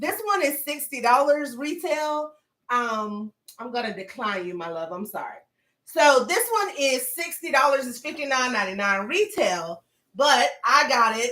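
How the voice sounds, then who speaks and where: A woman with a Southern accent, high-pitched, in a raised, projected voice, bright and sharp, animated in tone, with very wide pitch swings at a fairly slow pace. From US South. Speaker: lifestyle vlogger. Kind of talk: live stream unboxing chat. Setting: home livestream.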